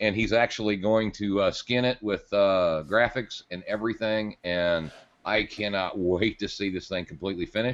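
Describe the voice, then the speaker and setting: Against a quiet background, a man with a plain, everyday voice speaks at a fairly low pitch and a moderate pace. His intonation is fairly even, with hardly any pauses. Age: 50s. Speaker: podcast co-host. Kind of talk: casual chat.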